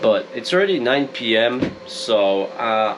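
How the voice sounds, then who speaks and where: A man with a Polish accent is heard against noticeable background noise. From Poland. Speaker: YouTuber, off-grid homesteader. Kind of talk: casual vlog. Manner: chatty.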